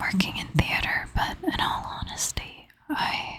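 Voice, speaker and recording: The voice is whispering. It moves at a fairly slow pace. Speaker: ASMR creator. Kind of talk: ASMR personal storytelling. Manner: soft-spoken half whisper. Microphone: crackling from knocking the microphone.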